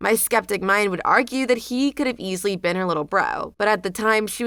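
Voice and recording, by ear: A text read aloud in a natural voice, pitch varying in an ordinary way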